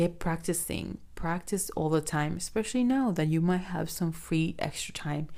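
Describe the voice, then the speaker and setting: Against a silent background on a very clean recording, a woman speaks at a moderate pace in a dark, mellow tone. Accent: non-native. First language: not English. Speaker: podcast host. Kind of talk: solo podcast monologue.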